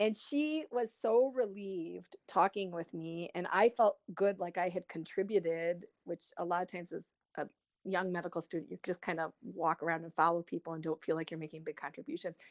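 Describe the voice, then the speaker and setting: A woman with an American accent speaks at a fairly quick pace in a fairly low voice with ordinary pitch variation. Her loudness swings widely, and the sound is dry and close with no echo. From Detroit, Michigan, US. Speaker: pediatric palliative care physician. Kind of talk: interview. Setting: remote call.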